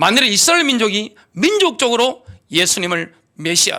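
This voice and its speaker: A man's raised, projected voice has a bright, sharp tone and very wide pitch swings, heard in a very clean recording with a silent background. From Gyeongsang, South Korea. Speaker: pastor. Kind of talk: sermon. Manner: animated.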